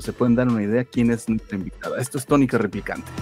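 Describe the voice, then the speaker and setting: With music in the background, a man speaks at a medium pitch. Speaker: podcast host. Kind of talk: podcast intro.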